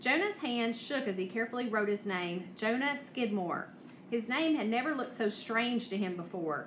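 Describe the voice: This is plain reading aloud. The text is read out plainly.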